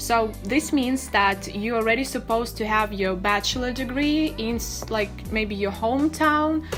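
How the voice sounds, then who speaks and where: With clear music in the background, a woman talks at a moderate pace with ordinary pitch variation and hardly any pauses. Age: 20s. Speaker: study-abroad vlogger; vlogger. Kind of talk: tutorial. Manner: hesitant with many fillers. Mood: friendly, explanatory. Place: home room.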